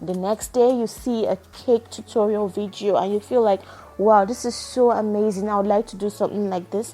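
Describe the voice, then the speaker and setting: A woman's monotone, flat delivery amid noticeable background noise. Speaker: podcaster. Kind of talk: casual monologue. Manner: unscripted, with false starts.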